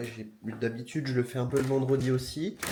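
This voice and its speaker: A man at a medium pitch keeps a moderate pace as noticeable background noise goes on around him. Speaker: vlogger. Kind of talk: casual talk to camera.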